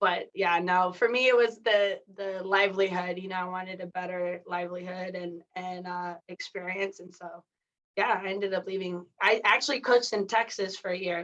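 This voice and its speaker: In an unremarkable speaking voice, a woman of medium pitch talks at a moderate pace with fairly even intonation and big swings in loudness. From San Diego, California (born in Mexico). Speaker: athletic director and sports management professor. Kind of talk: podcast interview.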